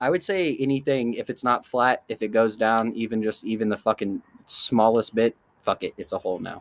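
In an American accent, a man with an ordinary speaking voice talks at a fairly quick pace and medium pitch, with ordinary pitch variation and a dry, close sound with no echo. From Kansas City area, US Midwest. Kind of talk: casual chat.

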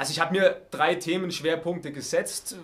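A man speaks at a moderate pace. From Baden-Württemberg, Heidenheim district (Swabia). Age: 30s. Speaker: politician, state parliament candidate. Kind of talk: interview. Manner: hesitant, with filler sounds.

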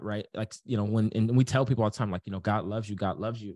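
The speaker has an American accent and fairly even intonation. The sound is dry and close, with no echo. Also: man. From US inner city. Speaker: business coach. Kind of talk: casual chat.

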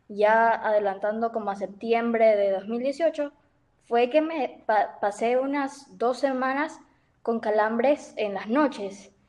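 Speaking at a very slow pace, a woman's voice sits fairly high in pitch. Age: 20s. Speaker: university student with type 1 diabetes. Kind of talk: casual chat.

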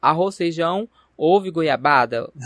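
Someone talks in an animated tone at a moderate pace, the sound dry and close with no echo. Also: man. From Barretos, São Paulo interior, Brazil. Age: 20s. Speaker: podcast host. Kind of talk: casual chat.

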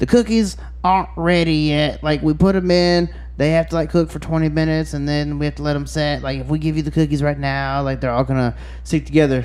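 Over noticeable background noise, a man puts on a raspy character voice at a fairly quick pace.

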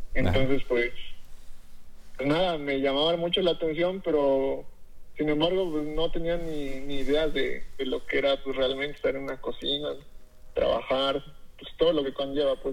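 A man with a fairly high pitch speaks at a moderate pace with fairly even intonation. He leaves long, frequent pauses. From Mexico, Tlaxcala. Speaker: chef. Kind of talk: interview. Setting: phone call. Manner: halting.

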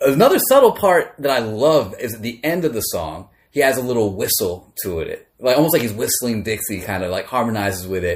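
A somewhat breathy male voice with lively intonation at a moderate pace, in a very clean recording with a silent background. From Maryland, US. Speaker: podcast host. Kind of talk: casual chat.

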